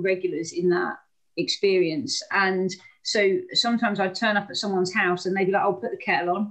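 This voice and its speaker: A woman's very fast speech, fairly even in intonation, against a quiet background. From England, Hastings. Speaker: anti-poverty campaigner. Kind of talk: online talk. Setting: video call. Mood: calm, reflective storytelling. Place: home room. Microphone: video call.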